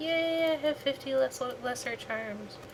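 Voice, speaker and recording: A woman talks over noticeable background noise. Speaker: gaming livestreamer. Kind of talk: casual gameplay livestream chat. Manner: subdued, calm, lowered voice; halting, many repetitions and fillers.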